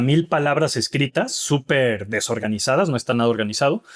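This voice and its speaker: A man with a Mexican accent speaks at a moderate pace and medium pitch with ordinary pitch variation, on a very clean recording with a silent background and a dry, close sound with no echo. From Mexico (Mexico City, Monclova). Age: 40s. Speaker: author and father. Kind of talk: interview conversation.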